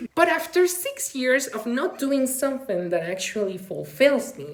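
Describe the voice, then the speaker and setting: Very wide pitch swings in a non-native accent, with noticeable background noise and audible room echo. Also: woman. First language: not English. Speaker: vlogger; graduate student in humanities. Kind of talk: personal vlog monologue.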